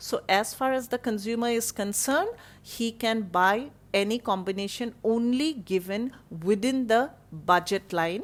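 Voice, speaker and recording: Speaking in a normal speaking voice, a woman with a fairly high pitch goes at a fairly slow pace with ordinary pitch variation. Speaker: college economics teacher. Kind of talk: online lecture.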